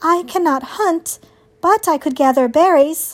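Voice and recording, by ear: A female-sounding put-on character voice, extremely high-pitched, at a moderate pace.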